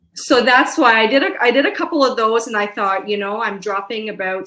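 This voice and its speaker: A woman with a Canadian accent at a moderate pace and a fairly high pitch. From Canada, London, Ontario. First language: Hungarian. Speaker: veterinary technician and podcaster. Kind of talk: casual interview chat.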